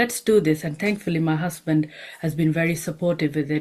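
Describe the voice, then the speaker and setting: The woman's voice has a very deep, low pitch. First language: not English. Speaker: homeopath and nutritionist. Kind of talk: panel discussion. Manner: hesitant, with fillers.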